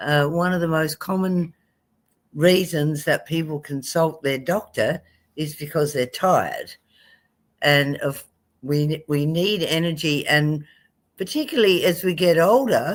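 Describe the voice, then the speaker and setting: A woman speaks with a fairly low pitch and ordinary pitch variation, at a fairly slow pace broken by long, frequent pauses. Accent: Australian. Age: 70s. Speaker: medical doctor. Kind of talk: health webinar talk. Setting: live stream video call.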